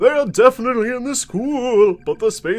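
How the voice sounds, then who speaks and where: A man's put-on character voice, extremely high in pitch and fairly quick in pace. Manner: spooky.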